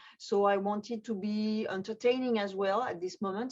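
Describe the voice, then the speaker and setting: Her delivery keeps a moderate tempo. She has a French accent. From France. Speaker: magician. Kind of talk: interview. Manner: halting.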